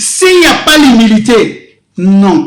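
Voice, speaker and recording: Speaking at a very slow pace, a man uses an extremely high pitch with very wide pitch swings. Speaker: pastor. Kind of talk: sermon.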